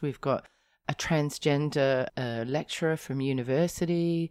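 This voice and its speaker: With an Australian accent, a woman talks at a fairly slow pace in a very deep, low pitch, using lively intonation on a very clean recording with a silent background. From rural South Australia. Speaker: podcast host. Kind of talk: casual chat.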